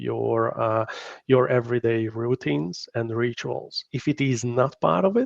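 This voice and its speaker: A man speaks with a strong Hungarian accent at a medium pitch. His pace is fairly slow. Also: dry, close sound with no echo. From Hungary. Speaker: company founder, workplace wellbeing expert. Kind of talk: live interview. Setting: live online stream. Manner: halting, many fillers.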